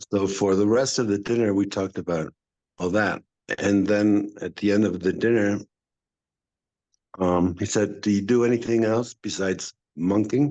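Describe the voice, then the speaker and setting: A man speaks at a moderate pace in a dark, mellow tone. His intonation is fairly even, with long, frequent pauses. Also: fairly low pitch for a man. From Mexico. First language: Spanish. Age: 60s. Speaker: actor and acting teacher. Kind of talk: casual interview chat.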